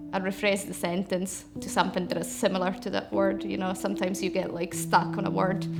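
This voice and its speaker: A woman at a fairly quick pace with hardly any pauses, over noticeable background noise and audible room echo. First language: not English. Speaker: interpreter. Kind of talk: interview testimony.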